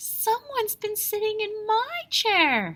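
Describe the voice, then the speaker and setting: A woman's squeaky, put-on character voice at an extremely high pitch and a fairly slow pace. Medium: read story.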